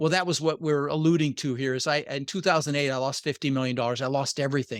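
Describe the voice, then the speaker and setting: In a dry, close sound with no echo, a man with an American accent speaks at a very fast pace. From Denver, Colorado, US (born Netherlands). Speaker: real estate investor. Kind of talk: interview. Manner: animated.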